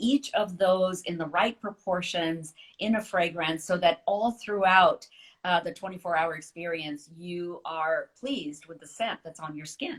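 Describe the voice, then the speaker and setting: At a moderate pace, a woman talks in an ordinary speaking voice, medium in pitch, with ordinary pitch variation. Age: 60s. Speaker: author. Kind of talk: casual chat.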